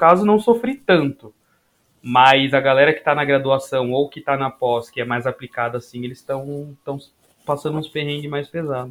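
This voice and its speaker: Speaking at a moderate pace, a man has an unremarkable speaking voice with a fairly high pitch. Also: big swings in loudness. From Guarulhos, São Paulo, Brazil. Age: 20s. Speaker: sports science graduate student and former athlete. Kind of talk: casual chat.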